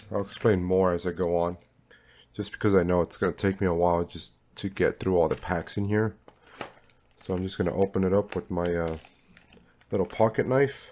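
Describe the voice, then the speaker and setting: A man talks at a fairly quick pace. His pitch is very deep and low, with a dark, mellow tone. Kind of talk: casual talk to camera.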